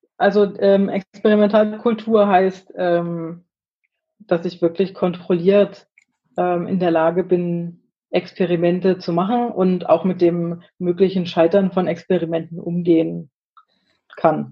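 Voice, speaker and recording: Her pitch fairly low, a woman speaks at a very slow pace with monotone, flat intonation. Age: 30s. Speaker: agile team leader in software development. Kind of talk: interview conversation.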